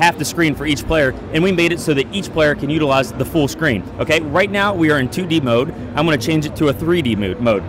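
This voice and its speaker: A man talks at a fairly quick pace with hardly any pauses, the sound dry with no echo and the background noise noticeable. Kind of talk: product demo explanation. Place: hall. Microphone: handheld.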